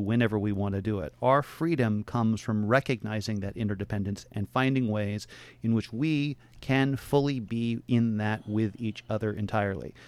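A man in an ordinary speaking voice with an American accent, medium pitch, ordinary pitch variation and a moderate pace. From Portland, Oregon. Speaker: philosophy professor. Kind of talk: radio interview. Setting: radio studio.

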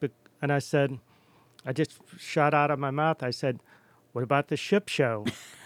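A man with a New York accent talks at a moderate pace, leaving long, frequent pauses. His pitch is fairly high and his intonation fairly even. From New York City and Cape Cod. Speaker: artist and printmaking instructor. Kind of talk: casual radio interview. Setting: studio.

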